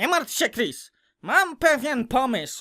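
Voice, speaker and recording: In a put-on character voice with a high pitch, the speaker goes at a fairly slow pace. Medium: fan dub.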